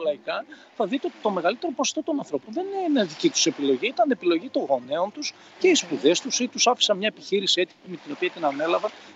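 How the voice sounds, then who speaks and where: A man at a fairly quick pace, with very wide pitch swings, over noticeable background noise. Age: 50s. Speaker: personal development coach. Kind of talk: interview.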